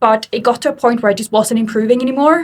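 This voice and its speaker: A woman with an Australian accent, somewhat breathy, at a fairly quick pace with ordinary pitch variation. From Sweden. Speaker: fitness coach. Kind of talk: interview.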